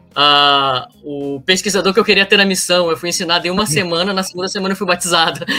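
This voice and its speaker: A man talks at a very fast pace with hardly any pauses. His pitch is high, with ordinary variation. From northern Brazil, Pará. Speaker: returned missionary. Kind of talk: casual interview storytelling. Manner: animated.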